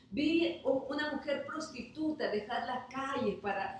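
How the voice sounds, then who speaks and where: Amid noticeable background noise and audible room echo, a woman with a high pitch speaks at a very slow pace. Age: 60s. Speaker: pastor. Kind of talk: sermon. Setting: online livestream.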